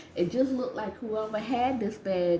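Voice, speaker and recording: Speaking with an American accent, a woman keeps a moderate pace and an animated tone. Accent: Gullah Geechee South Carolina. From US South, South Carolina Lowcountry (Gullah region). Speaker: vintage reseller vlogger. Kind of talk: casual vlog. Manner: conversational, animated.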